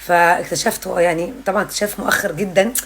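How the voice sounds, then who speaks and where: There is noticeable background noise as a woman talks with an Egyptian accent. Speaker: parenting content creator. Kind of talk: casual vlog monologue. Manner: loud.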